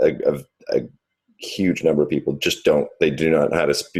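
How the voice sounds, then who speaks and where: A man with a Canadian accent at a moderate pace. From Canada. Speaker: video session participant. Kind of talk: group video discussion.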